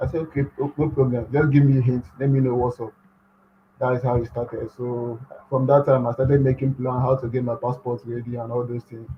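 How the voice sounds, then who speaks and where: A man speaks with a Nigerian accent and a somewhat breathy voice. His intonation is monotone and flat. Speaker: graduate student. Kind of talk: interview. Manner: soft-spoken.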